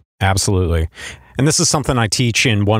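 A man talks at a very fast pace. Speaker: podcast host. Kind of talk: casual interview.

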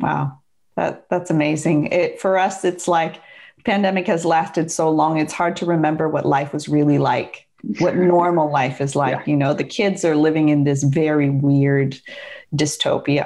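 A woman's very deep, low voice with a dark, mellow tone and very even loudness, in a Pacific Northwest accent, against a quiet background. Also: moderate pace. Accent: American (Pacific Northwest). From US Pacific Northwest (Seattle), also Bangkok. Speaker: divorce coach and entrepreneur. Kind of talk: interview.

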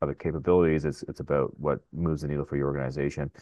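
This man speaks at a very fast pace with a very deep, low pitch. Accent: Canadian. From Ottawa area, Canada. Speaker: AI startup founder. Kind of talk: interview.

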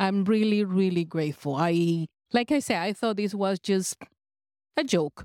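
A woman with a non-native accent talks at a medium pitch with ordinary pitch variation. The very clean recording has a silent background and a dry, close sound with no echo. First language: not English. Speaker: cruise passenger, hypnosis seminar attendee. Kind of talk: testimony. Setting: on a cruise ship.

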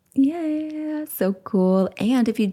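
Her somewhat breathy voice moves through very wide pitch swings as the woman speaks. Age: 40s. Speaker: self-love coach and podcast host. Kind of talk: solo podcast monologue. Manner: animated.

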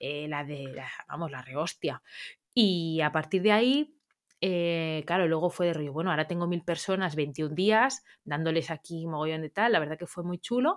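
A woman with a plain, everyday voice speaks at a fairly low pitch and a moderate pace, with ordinary pitch variation, in a very clean recording with a silent background. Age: 30s. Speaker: dog trainer. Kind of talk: interview.

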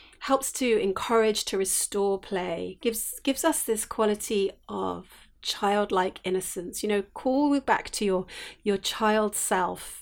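Over a silent background on a very clean recording, a woman speaks very slowly in a sing-song way, with hardly any pauses. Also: medium pitch for a woman, ordinary pitch variation. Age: 50s. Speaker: essential oils teacher and podcast host. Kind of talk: solo podcast talk, reflective teaching. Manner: gentle, warm.

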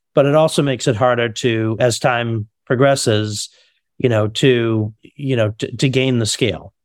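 A man with an unremarkable speaking voice talks at medium pitch and a moderate pace with fairly even intonation, in a very clean recording with a silent background. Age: 50s. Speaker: compliance consulting firm CEO. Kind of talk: interview.

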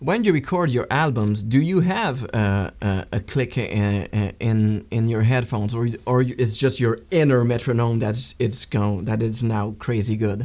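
With a Quebec French accent, a man speaks at a fairly slow pace and hardly any pauses. His pitch varies in an ordinary way, and his loudness stays very even. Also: medium pitch for a man. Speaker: podcast host, guitarist. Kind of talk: interview. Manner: halting.

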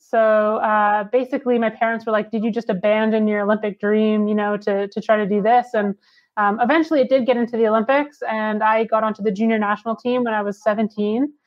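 A woman with a Canadian accent talks at a fairly quick pace, with hardly any pauses. Her pitch is fairly high and her intonation is monotone and flat. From Canada. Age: 20s. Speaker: former pro snowboarder and entrepreneur. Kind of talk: interview conversation.

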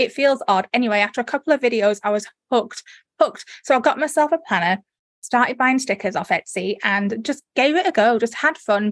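A woman with a northern English accent is heard dry and close, with no echo, in a very clean recording over a silent background. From northern England. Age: 40s. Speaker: sticker maker and online course creator. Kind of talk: casual interview chat.

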